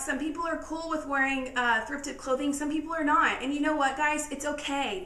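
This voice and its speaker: A raised, projected voice rings out with audible room echo. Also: woman. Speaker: lifestyle vlogger. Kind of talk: casual tutorial. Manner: fast.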